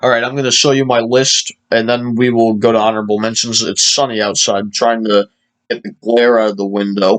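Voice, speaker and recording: Speaking at a fairly quick pace, a man holds a monotone, flat intonation at a medium pitch. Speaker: music video creator. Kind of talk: casual monologue. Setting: indoors by a sunny window. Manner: halting; fast.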